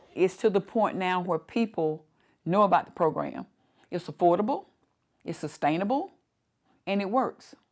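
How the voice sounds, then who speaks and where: Speaking with an Alabama accent, a woman uses a medium pitch and ordinary pitch variation at a moderate pace, with long, frequent pauses. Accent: Alabama Southern US. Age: 60s. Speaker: community advocate. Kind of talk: documentary interview.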